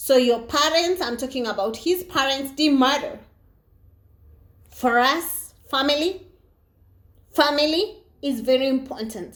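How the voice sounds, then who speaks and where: A woman speaks at a high pitch with ordinary pitch variation. Her pace is fairly slow, with long, frequent pauses. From Africa. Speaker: vlogger. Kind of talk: casual monologue. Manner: animated.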